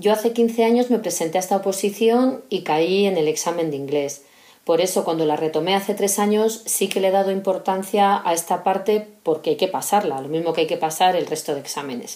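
A woman's normal speaking voice at medium pitch, fairly quick pace, ordinary pitch variation and hardly any pauses. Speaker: civil servant. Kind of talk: recorded monologue.

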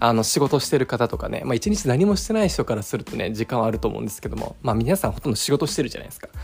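With music in the background, a man races along at a very fast pace with hardly any pauses and big swings in loudness. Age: 30s. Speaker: pharmacist and podcast host. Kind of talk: casual solo podcast monologue.

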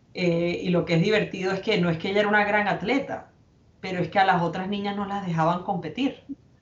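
Amid noticeable background noise and audible room echo, a woman talks at a very fast pace with fairly even intonation. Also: medium pitch for a woman. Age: 40s. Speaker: businesswoman and foundation president. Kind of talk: interview. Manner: hesitant, many fillers.

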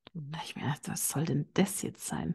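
The speaker has a slight Bavarian accent and keeps a moderate pace. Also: woman, quiet background. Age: 30s. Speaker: business psychologist. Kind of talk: interview.

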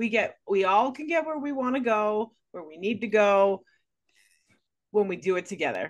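With an ordinary speaking voice, a woman at a fairly high pitch talks at a moderate pace, her intonation lively and her loudness swinging widely. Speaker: podcast host. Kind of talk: podcast interview, host intro and questions.

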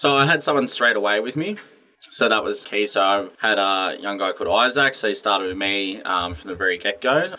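A man with an Australian accent speaks fairly quickly at a fairly low pitch, with ordinary pitch variation. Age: 20s. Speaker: gym owner and personal trainer. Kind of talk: casual interview chat.

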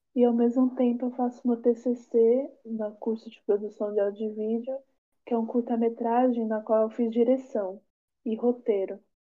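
A woman's fairly high-pitched voice at a fairly slow pace. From São Paulo area, Brazil. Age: 20s. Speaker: filmmaker and theatre teacher. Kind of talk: interview.

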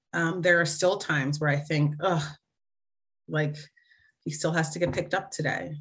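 A woman with a very deep, low voice talks at a moderate pace in a flat monotone, her loudness very even. Long, frequent pauses break her speech, and room echo is audible. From New Jersey. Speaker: corporate professional and mother. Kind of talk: interview.

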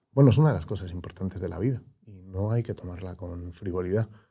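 A man's somewhat breathy, dark, mellow voice at a moderate pace with ordinary pitch variation, on a very clean recording with a silent background. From Spain, Madrid. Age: 30s. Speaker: former politician. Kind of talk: interview.

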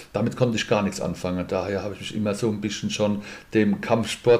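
Talking very fast, a man uses a fairly low pitch. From Mannheim, Germany. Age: 50s. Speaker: insurance broker and boxing event organizer. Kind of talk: casual interview.

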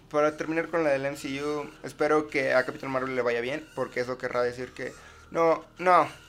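A man speaks at a fairly high pitch with fairly even intonation. Noticeable background noise runs under him. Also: moderate pace. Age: young. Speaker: podcast host. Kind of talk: casual chat.

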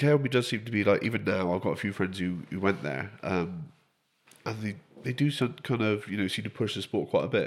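Against a silent background on a very clean recording, a man with an unremarkable speaking voice talks fairly quickly at a fairly low pitch with lively intonation. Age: 30s. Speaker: podcast host. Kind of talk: casual chat.

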